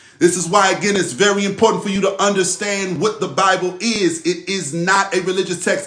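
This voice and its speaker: A man with a high pitch and fairly even intonation, over noticeable background noise. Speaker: spiritual teacher. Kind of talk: live religious teaching session. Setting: livestream. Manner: repetitive, emphatic; slow, deliberate when reading scripture.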